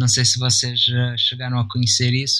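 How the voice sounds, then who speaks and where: The voice belongs to a man. It is pitched at a medium level. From Brazil and Portugal. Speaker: cartoonist. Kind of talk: casual interview.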